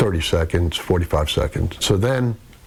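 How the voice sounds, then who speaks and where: Over noticeable background noise, a man with a fairly low pitch talks at a fairly slow pace with lively intonation. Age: 60s. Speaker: retired fire captain. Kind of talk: interview.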